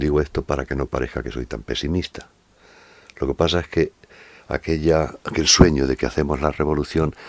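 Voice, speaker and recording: With a very deep, low pitch and vocal fry, a man speaks in fairly even intonation, recorded with a dry, close sound and no echo. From Spain, La Mancha. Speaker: poet and essayist. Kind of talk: interview answer. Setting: at home. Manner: slow, unhurried.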